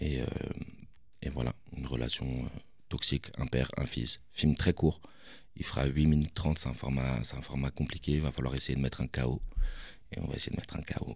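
A man with a very deep, low pitch and vocal fry talks at a moderate pace with fairly even intonation. His speech has long, frequent pauses. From Paris, Belleville. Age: 30s. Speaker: film director. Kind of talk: interview. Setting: studio.

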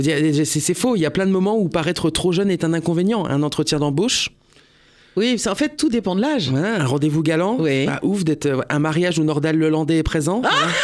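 A man speaks in a high voice with very even loudness. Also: ordinary pitch variation, moderate pace. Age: 30s. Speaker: radio comedian / columnist. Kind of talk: comic radio chronicle.

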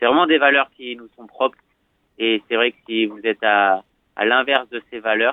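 A man with a slight southern French accent speaks at a moderate pace and medium pitch with fairly even intonation. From southwestern France, Bordeaux. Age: 20s. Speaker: professional skateboarder. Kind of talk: interview. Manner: gentle; hesitant, many fillers.

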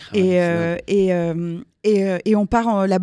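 On a very clean recording with a silent background and a dry, close sound without echo, a woman with a dark, mellow tone talks at a medium pitch with fairly even intonation. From Alsace, Strasbourg. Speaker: singer-songwriter. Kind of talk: radio interview. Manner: halting, repeats words.

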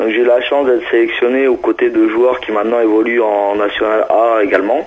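Noticeable background noise runs under this man's voice. He talks at a fairly quick pace with ordinary pitch variation. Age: 30s. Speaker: wheelchair basketball player. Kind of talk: interview. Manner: hesitant, many fillers.

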